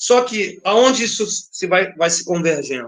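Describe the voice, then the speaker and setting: This man's delivery is fairly slow. His intonation rises and falls in a lively way. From Brazil, Rio de Janeiro (Madureira). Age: 50s. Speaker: dancer and samba dance teacher. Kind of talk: interview conversation. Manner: animated.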